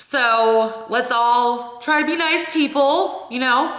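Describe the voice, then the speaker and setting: A high-pitched woman's voice with an American accent, ordinary pitch variation, audible room echo and noticeable background noise. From Ohio. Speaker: vlogger. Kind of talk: casual vlog talk. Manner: expressive.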